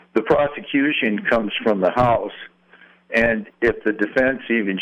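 A man is speaking. His pace is fairly slow. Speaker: caller. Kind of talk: call-in opinion. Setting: phone call.

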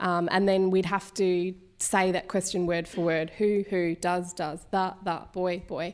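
A woman with an Australian accent speaks at a fairly slow pace with hardly any pauses and monotone, flat intonation, in a very clean recording with a silent background. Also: medium pitch for a woman. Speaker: broadcast journalist and podcast presenter. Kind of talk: live on-stage interview. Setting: live event stage with audience.

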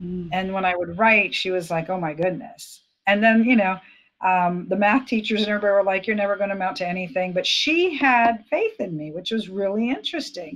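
A woman speaks fairly quickly in an unremarkable speaking voice over a quiet background. Her pitch is medium, with ordinary pitch variation. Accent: American. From Florida, US. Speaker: former police officer, ministry leader. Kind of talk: testimony.

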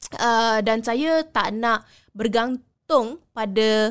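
A woman's fairly high voice at a very slow pace, ordinary pitch variation, dry and close with no echo, on a very clean recording with a silent background. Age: 30s. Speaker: culinary graduate. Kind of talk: interview.

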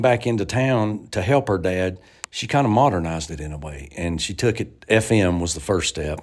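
The recording is very clean, with a silent background. A man speaks in an Appalachian accent. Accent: Southern US (Appalachian). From US South, western North Carolina. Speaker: bluegrass musician and radio host. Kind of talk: interview.

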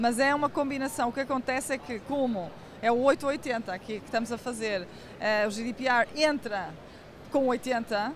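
Here a woman talks in a high pitch. Her pitch variation is ordinary. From Portugal. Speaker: tech company CEO. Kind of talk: interview.

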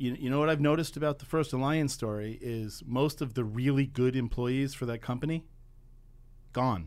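A man with an ordinary speaking voice, an American accent, medium pitch and ordinary pitch variation, at a moderate pace on a very clean recording with a silent background. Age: 50s. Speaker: advocacy group founder. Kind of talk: radio interview. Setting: radio studio.

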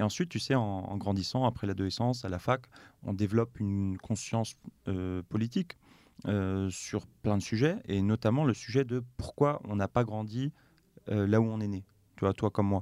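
In a very clean recording with a silent background and a dry, close sound with no echo, a man speaks at a fairly low pitch and moderate pace in a dark, mellow tone with ordinary pitch variation. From western France (Nantes). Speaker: consultant and NGO founder. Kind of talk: interview conversation.

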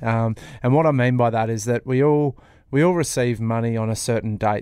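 In a Sydney accent, the speaker moves at a fairly quick pace with fairly even intonation on a very clean recording with a silent background. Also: man. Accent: Australian, Sydney. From Sydney, Australia. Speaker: financial planner, co-host. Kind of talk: casual business chat.

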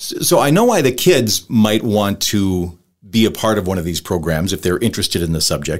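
A man talks in an unremarkable speaking voice, fairly low in pitch, with lively intonation. The recording is very clean, with a silent background. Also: moderate pace. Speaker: podcast host. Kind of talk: casual interview.

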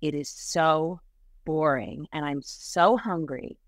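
A woman with a very deep, low voice talks at a very slow pace with ordinary pitch variation. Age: 40s. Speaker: writer and online creator, former actress. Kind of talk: casual interview. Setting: remote video call. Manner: halting, many restarts.

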